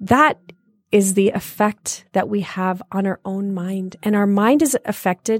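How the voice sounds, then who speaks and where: A woman with a Canadian accent speaks in a normal speaking voice at a medium pitch and a fairly slow pace, with ordinary pitch variation. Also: dry, close sound with no echo. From Canada, Toronto area (Brampton). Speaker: meditation teacher. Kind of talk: casual interview; guided meditation. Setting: studio.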